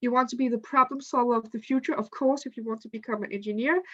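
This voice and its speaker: High-pitched, a woman's voice comes across dry and close with no echo. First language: not English. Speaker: student ambassador presenter. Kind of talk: online info session presentation. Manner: halting.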